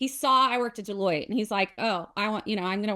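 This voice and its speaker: A woman speaks in a Southern US accent, her tone bright and sharp and her pitch fairly high. She moves at a fairly quick pace with ordinary pitch variation. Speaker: accountant and software founder. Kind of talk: casual interview.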